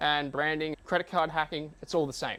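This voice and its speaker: The recording is very clean, its background silent. In an Australian accent, a man moves along at a fairly quick pace. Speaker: business owner and marketing coach. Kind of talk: talk to a live audience. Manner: casual.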